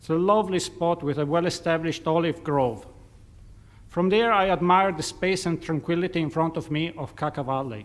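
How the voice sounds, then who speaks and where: The speaker talks at a fairly quick pace with a non-native accent. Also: man, high pitch for a man, ordinary pitch variation. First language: not English. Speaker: submitter at public hearing. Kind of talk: prepared statement.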